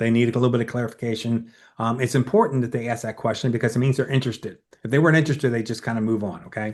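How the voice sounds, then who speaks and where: A man with an American accent, medium pitch, fairly even intonation and a very fast pace over a quiet background. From Southern Maryland, US. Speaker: oral presentation coach. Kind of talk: webinar presentation with Q&A.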